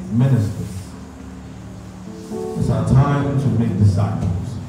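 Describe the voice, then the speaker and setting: A man's voice in strong room echo, with clear music in the background. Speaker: spoken word poet / church minister. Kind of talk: spoken word poetry ministration, church performance. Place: hall.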